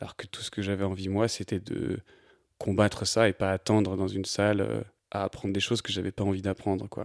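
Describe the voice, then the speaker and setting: Fairly quickly, a man speaks at a fairly low pitch in a monotone, flat intonation. The very clean recording has a silent background and a dry, close sound with no echo. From France, Annecy (Haute-Savoie). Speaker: photographer. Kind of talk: interview. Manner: hesitant, many fillers.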